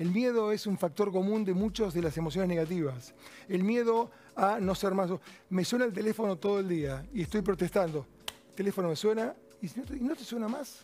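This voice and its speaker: This man's voice is high. He speaks fairly quickly, and his intonation is lively. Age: 60s. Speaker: cardiologist and author. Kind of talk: interview.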